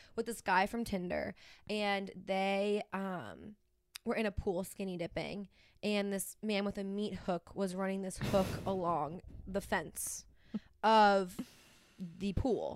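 In a very clean recording with a silent background, a woman with an ordinary speaking voice talks at a medium pitch and a fairly slow pace. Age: 20s. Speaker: podcast co-host. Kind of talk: casual chat.

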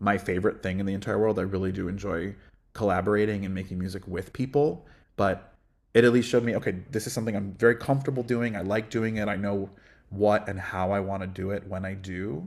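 A man's fairly low voice at a fairly quick pace, fairly even in intonation, in a very clean recording with a silent background

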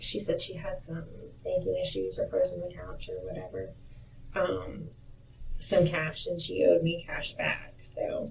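A woman's croaky, fairly low-pitched voice with vocal fry, ordinary pitch variation, a fairly slow pace and audible room echo

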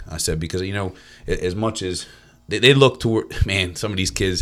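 A man with an American accent speaks in a normal speaking voice at a moderate pace, his fairly low pitch moving with ordinary variation. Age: 40s. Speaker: football coach and real estate agency owner. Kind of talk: casual chat.

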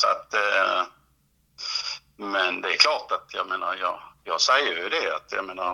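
A man talks at a fairly slow pace. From southern Sweden, northwestern Skåne. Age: 50s. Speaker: football coach. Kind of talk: interview.

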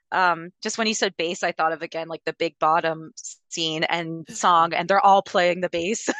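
A woman's normal speaking voice, fairly low in pitch, with fairly even intonation, a moderate pace, a dry, close sound with no echo, and a quiet background. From Alberta, Canada. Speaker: podcaster. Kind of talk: casual chat.

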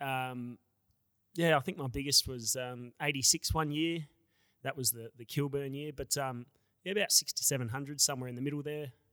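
In a very clean recording with a silent background and a dry, close sound with no echo, a man with an Australian accent speaks at a fairly quick pace with long, frequent pauses, his fairly high-pitched voice bright and sharp in tone and fairly even in intonation. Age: 30s. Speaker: amateur footballer. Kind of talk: casual interview.

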